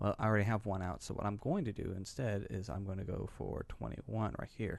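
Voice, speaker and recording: Speaking fairly quickly, a man shows vocal fry and ordinary pitch variation. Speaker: gaming youtuber. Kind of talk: gameplay tutorial commentary. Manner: hesitant, many fillers.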